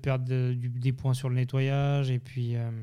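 At a fairly slow pace, a man speaks with a medium pitch and a dark, mellow tone. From Geneva area, Switzerland / Haute-Savoie. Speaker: chef. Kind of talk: interview. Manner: halting, many repetitions.

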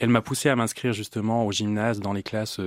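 A man's fairly low voice at a fairly quick pace, dry and close with no echo, in a very clean recording with a silent background. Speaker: classical singer and voice teacher. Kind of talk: interview.

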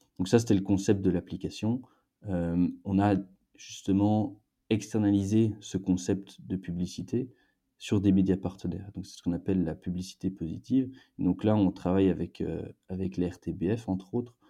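Dark and mellow in tone, a man's very deep, low voice moves at a moderate pace with fairly even intonation over a quiet background. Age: 20s. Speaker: startup co-founder. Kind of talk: interview. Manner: halting, frequent repetitions.

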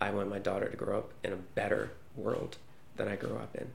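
With an American accent, a man talks over noticeable background noise in a room with audible echo. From United States. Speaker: journalist. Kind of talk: interview answers.

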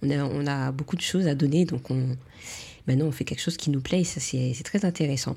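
At a fairly quick pace, a woman speaks with a very deep, low pitch and a dark, mellow tone. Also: ordinary pitch variation. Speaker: beauty podcast host, beautician. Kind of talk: casual interview chat.

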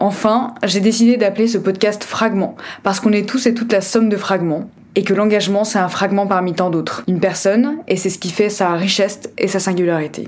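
A woman with a plain, everyday voice talks at a fairly quick pace. Her medium pitch shows ordinary pitch variation. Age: 20s. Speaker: podcast host, NGO advocacy officer. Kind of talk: scripted podcast introduction monologue.

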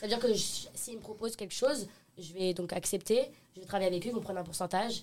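A woman speaks very fast at a medium pitch with ordinary pitch variation. Her loudness swings widely. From Paris region, France. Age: 20s. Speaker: influencer. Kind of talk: casual chat. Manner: halting.

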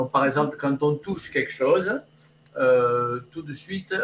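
At a moderate pace, a man talks with a fairly high pitch and ordinary pitch variation over noticeable background noise. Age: 60s. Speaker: olfactotherapist. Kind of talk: interview. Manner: halting.

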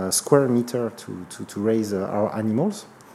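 This man talks in a French accent at a medium pitch. His pitch varies in an ordinary way. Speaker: startup executive. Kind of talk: interview. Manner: halting.

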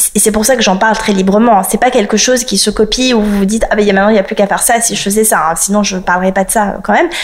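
Against noticeable background noise, a woman talks at a very fast pace in a fairly high voice with ordinary pitch variation. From France, partly raised in South Africa. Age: 30s. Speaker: lawyer and law firm founder. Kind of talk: interview.

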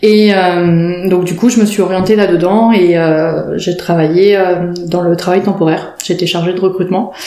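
A woman at medium pitch speaks in a flat monotone at a fairly slow pace, with audible room echo and noticeable background noise. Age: 40s. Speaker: perinatal support worker. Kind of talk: interview. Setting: in person in her office. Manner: halting.

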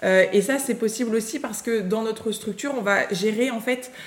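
The speech runs at a fairly quick pace, with noticeable background noise behind it. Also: woman. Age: 30s. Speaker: school founder and teacher. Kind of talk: interview.

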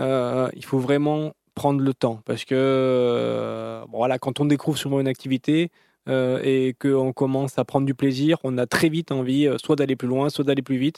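A man speaks at a fairly slow pace with a dark, mellow tone and monotone, flat intonation. The sound is dry and close, with no echo. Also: medium pitch for a man. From southern France, Antibes area. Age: 40s. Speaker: marathon runner and sports author. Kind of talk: interview. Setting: in a car.

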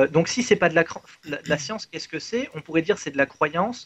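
In a plain, everyday voice, a man speaks at a fairly high pitch with ordinary pitch variation, the sound dry and close with no echo. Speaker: mathematician. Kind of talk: explanatory discussion.

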